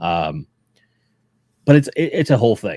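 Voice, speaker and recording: A very clean recording with a silent background and a dry, close sound with no echo. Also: man. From Pittsburgh, Pennsylvania. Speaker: toy collecting streamer, Marine veteran. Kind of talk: casual chat. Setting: live stream.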